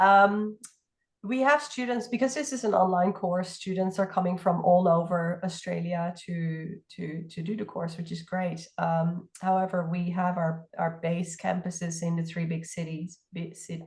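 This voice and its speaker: Somewhat breathy and fairly low-pitched, a woman talks at a fairly slow pace with ordinary pitch variation. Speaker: partnerships team staff. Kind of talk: info session Q&A.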